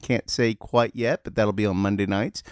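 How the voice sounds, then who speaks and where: The speech moves at a moderate pace with a Southern US accent. The background is quiet, and the sound is dry and close with no echo. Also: man. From US Deep South. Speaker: comedian and trivia host. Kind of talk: casual chat.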